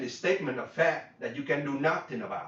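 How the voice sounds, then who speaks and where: Someone with a Vietnamese accent talks at a fairly quick pace amid noticeable background noise and audible room echo. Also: man. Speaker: business coach. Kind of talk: workshop lecture. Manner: halting, many fillers and repeats.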